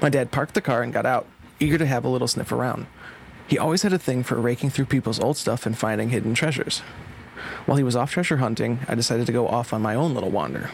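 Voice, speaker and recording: The speaker delivers a dramatic tone at a very fast pace, with noticeable background noise behind. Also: man, medium pitch for a man, ordinary pitch variation, very even loudness. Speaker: horror writer guest. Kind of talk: horror narration. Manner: tense, hushed, dramatic narration.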